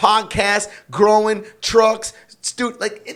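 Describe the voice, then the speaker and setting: A loud, animated man with a high-pitched voice. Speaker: construction company owner and coach. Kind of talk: podcast interview, faith testimony.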